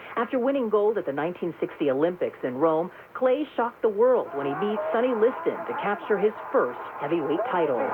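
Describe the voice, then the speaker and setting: Amid noticeable background noise, a woman talks fairly quickly at a medium pitch with very wide pitch swings. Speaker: news correspondent. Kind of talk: radio news report.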